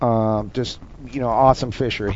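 In an American accent, a man speaks with monotone, flat intonation. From North Dakota, rural. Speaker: special forces soldier. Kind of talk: casual chat.

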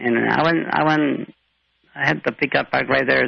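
A man's voice with very wide pitch swings, vocal fry, and a moderate pace. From Mexico, raised in Rio Grande Valley, Texas. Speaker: blind guest, small business owner. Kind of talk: interview. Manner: halting.

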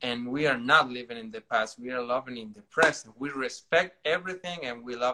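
The man's tone is bright and sharp. He speaks with a Spanish accent. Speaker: dancer. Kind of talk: casual chat. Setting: online livestream. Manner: halting.

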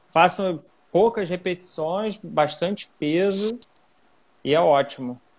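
A man's high-pitched voice at a very slow pace, broken by long, frequent pauses. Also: ordinary pitch variation. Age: 30s. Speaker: triathlete, former pro rower. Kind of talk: casual chat.

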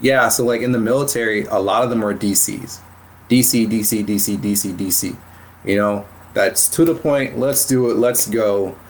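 Noticeable background noise sits behind a man speaking at a medium pitch and fairly slow pace. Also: ordinary pitch variation. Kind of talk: casual interview chat. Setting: virtual recording, online call.

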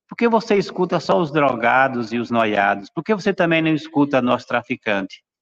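The voice moves at a moderate pace with lively intonation, heard in a dry, close sound with no echo. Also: man. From Brazil, São Paulo. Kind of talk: panel discussion testimony. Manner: hesitant, many fillers. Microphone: unstable internet connection.

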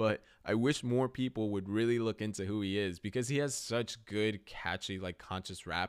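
A man with an American accent and fairly low pitch, at a moderate pace with hardly any pauses and ordinary pitch variation, in a very clean recording with a silent background. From United States. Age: 20s. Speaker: podcast host. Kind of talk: casual solo podcast monologue. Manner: rambling with fillers and self-corrections.

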